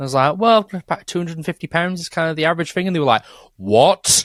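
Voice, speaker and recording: A man with a northern English accent is heard in a very clean recording with a silent background and a dry, close sound with no echo. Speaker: podcast co-host, session bassist. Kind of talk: casual chat.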